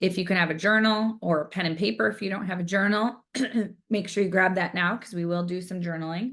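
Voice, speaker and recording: Against a quiet background, a woman speaks at a medium pitch. She goes at a very fast pace with ordinary pitch variation. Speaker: spiritual healing facilitator. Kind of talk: online community workshop. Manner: casual, with fillers.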